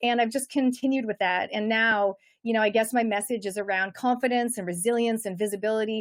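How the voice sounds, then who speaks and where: Speech comes at a very fast pace in a Canadian accent, with ordinary pitch variation. The recording is very clean, the background silent. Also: woman. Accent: Canadian accent noticeable. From Canada. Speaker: personal development coach and author. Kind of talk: interview.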